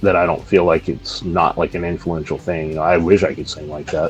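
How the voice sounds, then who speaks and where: A man's very deep, low voice with an American accent at a fairly quick pace, music in the background. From US, Montana. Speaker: metal musician. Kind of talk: interview. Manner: hesitant, many fillers.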